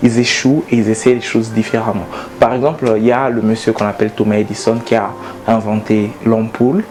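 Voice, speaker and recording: Over noticeable background noise, a man talks at a fairly quick pace and a medium pitch. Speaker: motivational speaker. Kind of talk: motivational talk to camera. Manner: animated; halting.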